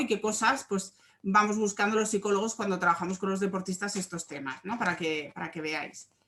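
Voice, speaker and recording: A woman's bright, sharp tone at medium pitch, with ordinary pitch variation and a moderate pace. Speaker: sports psychologist. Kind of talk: online workshop talk.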